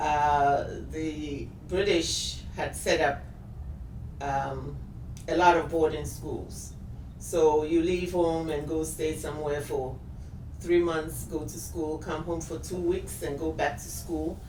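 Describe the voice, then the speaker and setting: A woman talks at a very slow pace, with long, frequent pauses. Noticeable background noise and audible room echo surround her voice. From Ghana, Accra area (Ga). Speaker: shop owner. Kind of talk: interview.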